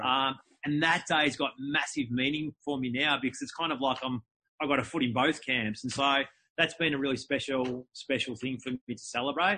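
With an Australian accent, a man speaks at a moderate pace in a fairly high pitch and fairly even intonation. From Melbourne, Australia. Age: 40s. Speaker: entrepreneur and speaker. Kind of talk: interview.

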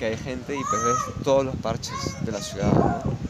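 A man with a medium-pitched voice talks at a moderate pace over noticeable background noise, with audible room echo. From Peru, Lima. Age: 30s. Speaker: photographer. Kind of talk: interview.

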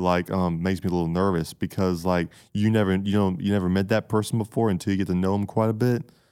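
Very deep and low in pitch, a man talks at a very fast pace in a Southern US accent. His intonation is fairly even, on a very clean recording with a silent background. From US South, Georgia. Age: 20s. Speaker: college student. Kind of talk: interview.

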